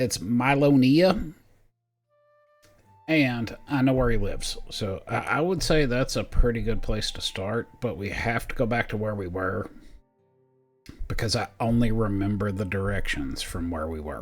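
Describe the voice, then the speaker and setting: A man puts on a raspy character voice at medium pitch, with lively intonation and a moderate pace. Long, frequent pauses break up his speech over background music. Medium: actual play. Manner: casual, joking.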